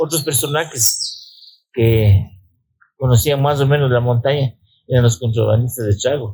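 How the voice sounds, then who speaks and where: A man speaks at a medium pitch and a fairly slow pace, his intonation fairly even. His voice is somewhat breathy, with a dark, mellow tone. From Ecuador, Riobamba (Andean highlands). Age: 80s+. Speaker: mountaineer. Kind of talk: interview. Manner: halting, with repetitions.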